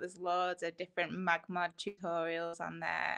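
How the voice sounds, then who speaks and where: A woman speaks in a rural Lancashire accent at a fairly low pitch. Her tone is bright and sharp, with vocal fry. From Lancashire, northwest England. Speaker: photographer. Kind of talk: live stream interview.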